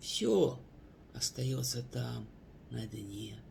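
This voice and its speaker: A man speaks at a very slow pace. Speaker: poet. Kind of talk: poetry reading.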